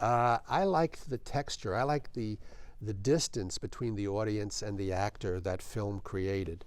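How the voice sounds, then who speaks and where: A man with a New York accent and a fairly low pitch speaks at a moderate pace. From New York, Brooklyn. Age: old. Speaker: film production director and author. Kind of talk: interview.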